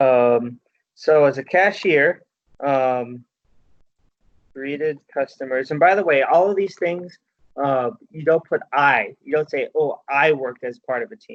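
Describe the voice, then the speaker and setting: With an ordinary speaking voice, a man talks at a fairly slow pace and fairly high pitch, showing ordinary pitch variation and big swings in loudness, the sound dry and close with no echo. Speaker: workshop facilitator teaching resume writing. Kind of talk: workshop presentation.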